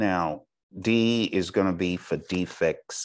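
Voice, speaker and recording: A man's voice against a quiet background. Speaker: exam prep instructor. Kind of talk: lecture. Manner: deliberately slow.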